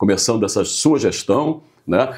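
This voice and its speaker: A man's dark, mellow tone with lively intonation. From Portugal. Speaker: business association president, interview host. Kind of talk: interview.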